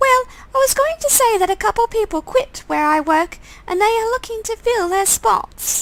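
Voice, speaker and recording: A woman's squeaky, put-on character voice at an extremely high pitch, warm in tone and at a moderate pace. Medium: game stream. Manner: warm, chatty.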